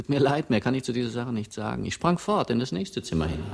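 Using a put-on character voice, a man talks fast at a medium pitch with big pitch swings, a slightly mellow tone and vocal fry.

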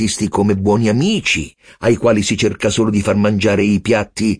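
What you hear is a natural reading voice.

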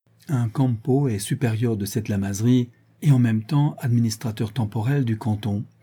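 A natural reading voice is heard here.

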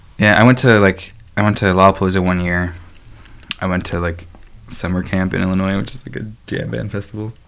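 With an American accent, a man speaks in a very deep, low pitch with ordinary pitch variation, big swings in loudness and long, frequent pauses. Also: fairly quick pace. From Chicago. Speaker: podcast host on dating. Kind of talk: casual chat.

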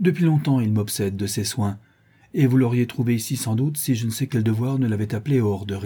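Ordinary pitch variation in plain reading aloud

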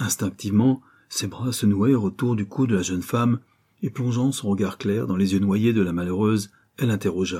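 The pitch moves in a usual way as the text is read aloud plainly.

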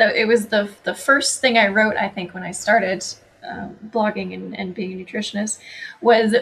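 A woman speaks at a moderate pace with a Canadian accent, her pitch fairly high. Noticeable background noise runs behind her. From Canada. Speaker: holistic nutritionist and author. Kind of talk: interview chat.

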